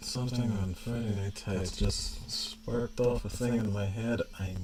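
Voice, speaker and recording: Audible room echo surrounds a man with a fairly low voice. He speaks at a fairly slow pace with fairly even intonation. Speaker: artist streamer. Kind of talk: casual livestream chat while drawing. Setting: livestream. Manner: slurs a little.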